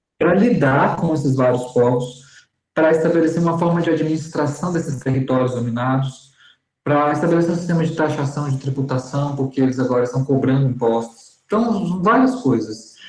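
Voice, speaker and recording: Somewhat breathy and fairly high, a man's voice moves at a moderate pace with ordinary pitch variation and very even loudness. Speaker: seminary teacher. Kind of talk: lecture.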